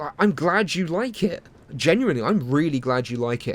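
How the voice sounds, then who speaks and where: With music in the background, a man talks at a moderate pace with lively intonation. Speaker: video game reviewer. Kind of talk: video essay narration. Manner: casual, sarcastic, humorous.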